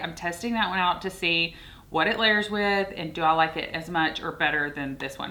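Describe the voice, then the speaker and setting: In a Southern US accent, a woman with a fairly low pitch talks at a moderate pace with ordinary pitch variation. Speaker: beauty and fragrance youtuber. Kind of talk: product review. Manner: casual, chatty with fillers.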